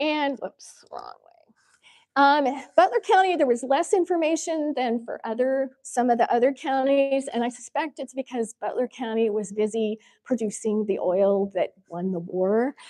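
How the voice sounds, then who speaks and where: A woman with a Midwestern American accent, high-pitched with a dark, mellow tone, lively intonation and a moderate pace, in a dry, close sound with no echo. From Kansas. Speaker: history speaker, fashion teacher and lawyer. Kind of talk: history lecture with slides.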